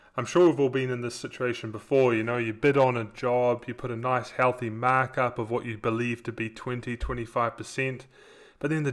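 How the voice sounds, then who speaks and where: A man with a New Zealand accent speaks at a moderate pace. His pitch is medium and his intonation is monotone and flat. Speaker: software company co-founder, former contractor. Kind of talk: webinar presentation. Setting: online webinar.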